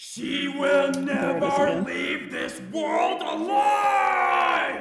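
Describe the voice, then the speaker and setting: A put-on character voice, high-pitched and very slow, with a slight echo. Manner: menacing, threatening.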